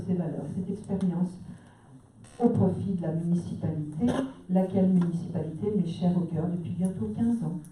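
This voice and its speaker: At a fairly slow pace, a woman with a fairly low voice talks over noticeable background noise, with audible room echo. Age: 60s. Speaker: municipal election candidate. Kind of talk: public meeting speech.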